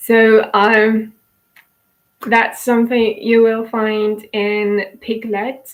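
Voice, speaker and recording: A woman with a fairly high pitch and a Polish accent. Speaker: YouTuber selling courses. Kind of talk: personal monologue to camera. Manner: halting, many fillers.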